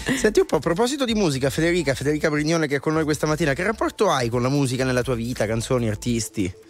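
Lively in intonation, a man with a fairly high pitch speaks at a very fast pace. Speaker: radio host. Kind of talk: casual chat. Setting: studio.

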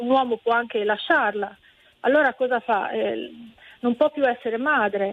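Her pitch high, a woman talks at a moderate pace. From Calabria, Italy. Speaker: teacher. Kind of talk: radio phone-in call. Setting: phone call.

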